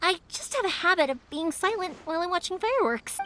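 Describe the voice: Putting on a character voice, a woman talks fast in an extremely high pitch, with a bright, sharp tone and lively intonation.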